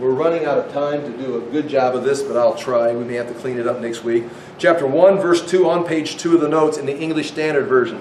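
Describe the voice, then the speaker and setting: The speech runs at a very fast pace with hardly any pauses and ordinary pitch variation, amid audible room echo and noticeable background noise. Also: man, fairly high pitch for a man. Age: 60s. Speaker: Bible teacher. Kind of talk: sermon. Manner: animated.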